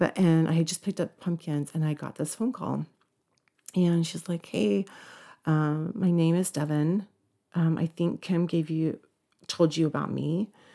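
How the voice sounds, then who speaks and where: A woman with an American accent speaks at a fairly slow pace with long, frequent pauses. Her fairly low pitch has a dark, mellow tone and ordinary pitch variation. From Idaho. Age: 40s. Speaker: church ward member. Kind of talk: life story interview.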